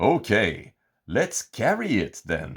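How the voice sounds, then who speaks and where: On a very clean recording with a silent background, a man performs a put-on character voice. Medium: read story.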